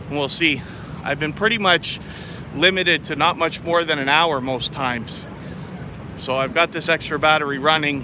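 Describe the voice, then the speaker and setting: A man's fairly high voice at a moderate pace, with ordinary pitch variation, long, frequent pauses and noticeable background noise. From Canada, Toronto. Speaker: travel vlogger. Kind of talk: live stream walking tour. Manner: loud.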